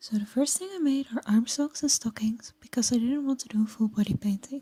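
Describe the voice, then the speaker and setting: A soft-spoken woman with a high pitch and ordinary pitch variation, a dark, mellow tone, a fairly quick pace, and a dry, close sound with no echo. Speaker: cosplayer. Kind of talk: tutorial voice over.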